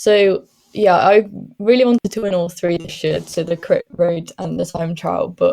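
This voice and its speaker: A woman talks at a moderate pace in a Welsh accent. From Wales. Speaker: professional cyclist. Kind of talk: interview.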